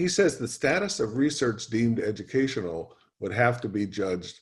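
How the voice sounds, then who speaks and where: Speaking at a moderate pace with an American accent, a man uses a medium pitch and sounds somewhat breathy. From USA. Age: 70s. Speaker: professor. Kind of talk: lecture. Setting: video call. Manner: hesitant fillers.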